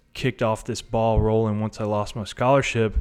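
Over music in the background, a man with a Tennessee accent talks at a moderate pace and medium pitch in a flat monotone. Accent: Tennessee Southern. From US South. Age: 30s. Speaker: recovering addict, delivery driver. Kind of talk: testimony.

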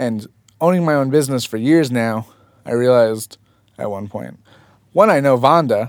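A man with an American accent talks at a moderate pace, his pitch medium and its variation ordinary. He leaves long, frequent pauses. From New Jersey (Fort Lee, near New York City). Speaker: freelance photographer. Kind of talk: casual chat. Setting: studio.

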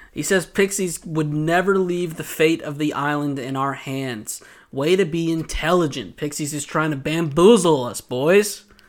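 A man with a fairly high pitch and a slight Southern US accent, hardly any pauses, in a very clean recording with a silent background. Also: ordinary pitch variation, moderate pace. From US South, Georgia. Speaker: podcast host. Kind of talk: casual chat. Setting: studio.

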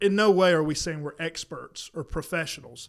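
With a Southern US accent, a man speaks at a high pitch and a fairly quick pace with fairly even intonation, on a very clean recording with a silent background. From South Carolina. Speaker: podcast co-host, disc golfer. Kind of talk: casual chat. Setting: studio.

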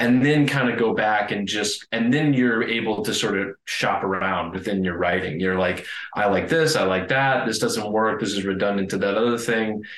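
With hardly any pauses, a man with a fairly low pitch speaks at a moderate pace amid noticeable background noise and audible room echo. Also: ordinary pitch variation. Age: 30s. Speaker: film director and screenwriter. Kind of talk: casual interview.

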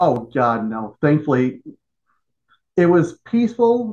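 Speaking at a very slow pace with a Chicago accent, a man has a fairly high voice of dark, mellow tone that makes very wide pitch swings. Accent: Chicago-area American. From Joliet, Illinois, US Midwest. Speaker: pro wrestling general manager and former referee, army veteran. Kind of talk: podcast interview.

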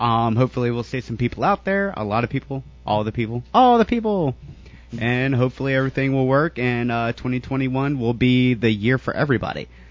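He has a plain, everyday voice, a man's medium pitch and ordinary pitch variation. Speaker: podcast co-host. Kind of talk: casual chat.

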